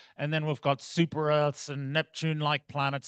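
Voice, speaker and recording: Heard over a quiet background, a man with an Australian accent speaks at a fairly high pitch. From outback Australia. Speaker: astronomy researcher. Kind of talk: lecture. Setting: club meeting talk.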